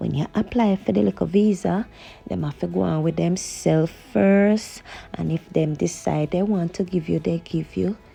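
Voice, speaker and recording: A woman with a Jamaican accent at a moderate pace. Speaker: vlogger. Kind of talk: casual vlog chat while driving. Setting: in a car at night. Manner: chatty, conversational.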